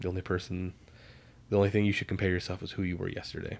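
Mumbling in a very deep, low voice, a man is heard on a very clean recording with a silent background. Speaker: podcast co-host, therapy student. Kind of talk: casual chat.

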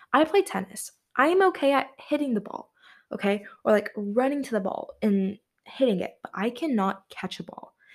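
At a moderate pace, the animated delivery shows very wide pitch swings and big swings in loudness. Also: woman, high pitch for a woman. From Tennessee. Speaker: podcaster. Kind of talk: casual monologue.

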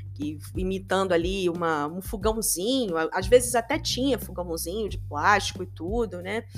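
Music plays behind a woman whose animated tone comes at a moderate pace with hardly any pauses and big swings in loudness. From Brazil, Rio de Janeiro. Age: 40s. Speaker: podcast host. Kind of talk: solo podcast monologue.

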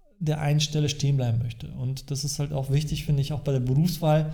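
A man's fairly high, somewhat breathy voice with a dark, mellow tone and monotone, flat intonation, with audible room echo. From Germany, East Westphalia-Lippe. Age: 40s. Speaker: financial advisor. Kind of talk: casual interview. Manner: halting, many fillers.

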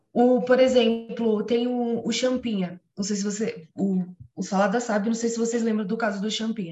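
Somewhat breathy, a woman speaks at a fairly high pitch and a moderate pace. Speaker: biology student and interviewer. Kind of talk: interview. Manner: excited.

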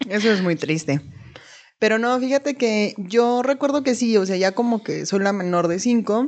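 Lively intonation marks a woman's unremarkable speaking voice, fairly high in pitch and at a moderate pace. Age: 20s. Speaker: podcast co-host. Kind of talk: casual chat.

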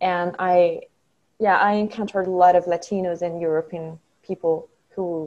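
A woman with a French accent, medium in pitch and dark and mellow in tone, at a moderate pace with fairly even intonation. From France. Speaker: study abroad alumna. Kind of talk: interview.

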